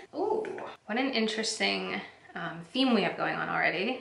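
This is a woman's voice. Audible room echo surrounds it. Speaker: beauty vlogger. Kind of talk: casual vlog chat. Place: home room.

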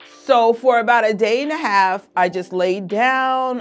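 A woman speaks at a very slow pace. Faint music plays in the background. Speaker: weight vlogger. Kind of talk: casual vlog chat. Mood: frustrated, self-critical then upbeat. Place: home room. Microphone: phone near.

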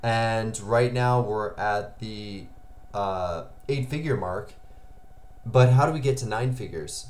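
The pitch variation is ordinary as a man talks. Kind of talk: casual vlog chat. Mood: motivated, reflective. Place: home room.

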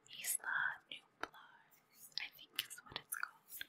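Someone whispers at a very slow pace. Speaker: ASMR creator. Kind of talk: ASMR gaming commentary. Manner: whispered.

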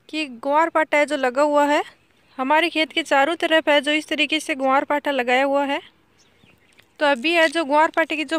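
A high-pitched woman's voice at a fairly slow pace, monotone and flat, with a dry sound and no echo. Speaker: farm vlogger. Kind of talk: casual vlog chat. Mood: cheerful, smiling. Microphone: phone near.

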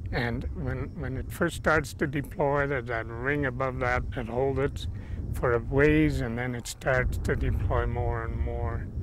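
A man talks at a fairly slow pace in a dry recording with no echo, with noticeable background noise. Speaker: pilot telling rescue story. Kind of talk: testimony. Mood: calm reflective storytelling. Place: open country.

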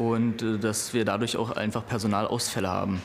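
Noticeable background noise behind a man talking at a fairly quick pace with fairly even intonation. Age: 30s. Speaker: fire station shift leader. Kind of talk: on-the-job interview. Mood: serious, concerned. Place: garage.

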